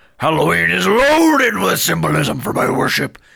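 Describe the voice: A man's put-on character voice, fairly high with big pitch swings, a bright, sharp tone, a slightly husky edge and vocal fry, at a moderate pace.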